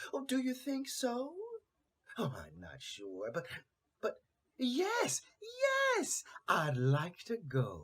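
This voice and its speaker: Someone uses a put-on character voice, talking at a very slow pace with long, frequent pauses. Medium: read story.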